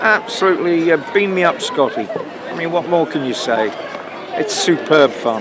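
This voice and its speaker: Crowd noise fills the background and the room echo is audible. A man talks at a moderate pace. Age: 70s. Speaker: retired environmental scientist. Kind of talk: street interview. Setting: outdoors in a park. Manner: halting, many repetitions.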